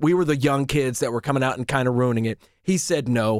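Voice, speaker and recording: A man has an unremarkable speaking voice with a fairly high pitch. His intonation is lively. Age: 40s. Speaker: radio host. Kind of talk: casual chat. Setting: studio.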